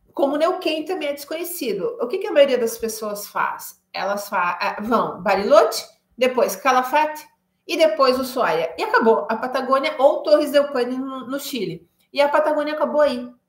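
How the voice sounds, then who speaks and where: A woman speaks with a high pitch. Her voice swings very widely in pitch. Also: moderate pace. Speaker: travel guide. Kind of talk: live stream talk. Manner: hesitant fillers.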